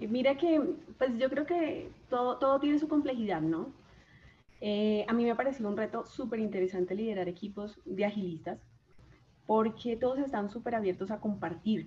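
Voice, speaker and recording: A woman's fairly high, somewhat breathy voice has a dark, mellow tone and lively intonation. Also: moderate pace. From Colombia, Chaparral, Tolima. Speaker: systems engineer and agile coach. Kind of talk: casual interview. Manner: halting, many repetitions.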